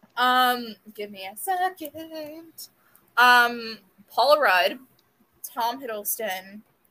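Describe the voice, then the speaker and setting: Speaking very slowly with long, frequent pauses, a woman with an American accent has a high pitch, a bright, sharp tone, lively intonation and big swings in loudness. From US South, South Florida. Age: 20s. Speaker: podcast co-host. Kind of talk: casual chat.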